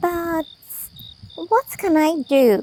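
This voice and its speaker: This put-on character voice is squeaky, with lively intonation. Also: woman. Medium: audio drama. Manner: guarded.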